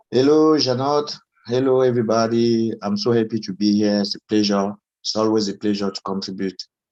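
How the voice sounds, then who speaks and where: The pace is fairly quick. Intonation stays fairly even. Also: man, medium pitch for a man. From Cameroon. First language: French. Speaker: music media founder. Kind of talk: panel discussion. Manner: halting, many fillers.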